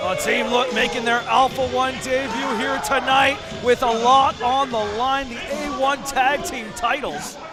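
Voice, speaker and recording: A man with an extremely high pitch speaks in a raised, projected voice at a fairly slow pace, with hardly any pauses and fairly even intonation, as music plays in the background. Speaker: wrestling commentator. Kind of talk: live wrestling play-by-play commentary.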